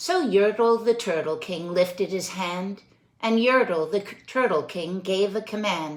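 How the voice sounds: The text comes across in a natural reading voice.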